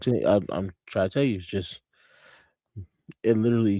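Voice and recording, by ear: Soft-spoken and fairly quick, a man talks in a fairly low, dark, mellow voice with ordinary pitch variation and a dry, close sound free of echo.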